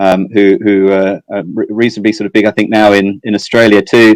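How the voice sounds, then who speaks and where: Fairly quick, flat monotone delivery with an English accent, dry and close with no echo. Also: man. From southeast England. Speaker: fintech executive. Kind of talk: interview. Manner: halting, many fillers and repetitions.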